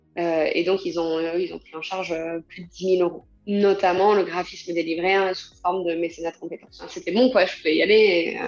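Amid noticeable background noise, a woman talks fairly quickly in a fairly low pitch, her intonation monotone and flat while her loudness swings widely. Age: 30s. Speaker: association founder. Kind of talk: interview. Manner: hesitant, many fillers.

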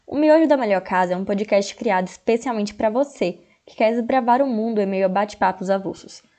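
Set against a quiet background, a woman's voice sits at a medium pitch with a dark, mellow tone and ordinary pitch variation. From Jequié, interior of Bahia, Brazil. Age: 20s. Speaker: podcast co-host. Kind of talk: casual chat.

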